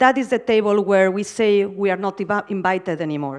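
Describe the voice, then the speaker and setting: The speaker has a strong Spanish accent and ordinary pitch variation. The background is quiet. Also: woman. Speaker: architecture curator and academic. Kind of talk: conference keynote.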